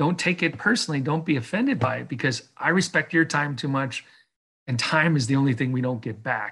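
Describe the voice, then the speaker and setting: An American-accented man talks at a fairly quick pace. His tone is bright and sharp, with lively intonation. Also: fairly high pitch for a man. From Chicago, US Midwest. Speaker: venture capital investor. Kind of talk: interview.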